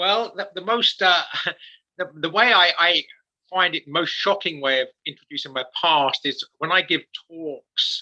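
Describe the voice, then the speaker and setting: In a dry, close recording with no echo, a man with a high pitch and a bright, sharp tone speaks at a fairly slow pace. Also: ordinary pitch variation. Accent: English. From England. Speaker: author and speaker. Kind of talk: interview testimony.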